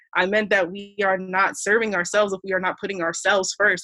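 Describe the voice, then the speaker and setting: A woman talks very fast with a bright, sharp tone. Her pitch sits in the medium range. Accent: American. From US, Columbia, Maryland. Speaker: social worker. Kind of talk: podcast interview.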